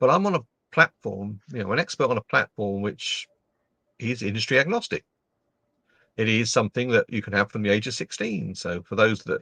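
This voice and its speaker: A man with an English accent and a bright, sharp, medium-pitched voice, fairly quick and lively in intonation, in a dry, close sound with no echo. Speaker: LinkedIn trainer and speaker. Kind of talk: casual interview chat. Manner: animated.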